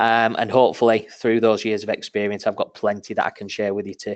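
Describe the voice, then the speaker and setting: A man with a northern English accent at a very fast pace, in a dry, close sound with no echo. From northern England. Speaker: marketing manager. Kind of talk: webinar presentation. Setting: webinar. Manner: casual, many filler ums.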